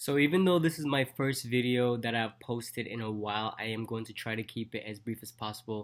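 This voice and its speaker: Talking at a fairly quick pace with hardly any pauses, a man with a slight Jamaican accent keeps a medium pitch and ordinary pitch variation but big swings in loudness. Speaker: dentist and vlogger. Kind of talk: casual vlog talk.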